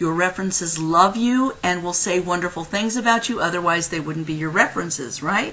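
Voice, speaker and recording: A woman's voice amid noticeable background noise. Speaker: career consultant. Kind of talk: tutorial. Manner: fast.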